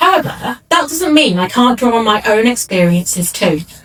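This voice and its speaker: A woman with a northern English accent talks at a moderate pace over noticeable background noise. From northern England, Greater Manchester. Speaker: book editor. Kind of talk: keynote speech.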